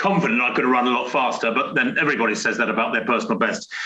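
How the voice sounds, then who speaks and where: A man's medium-pitched voice with a bright, sharp tone and lively intonation carries audible room echo. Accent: British. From Britain. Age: 60s. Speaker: retired elite distance runner. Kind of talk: interview. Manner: hesitant, many fillers and repetitions.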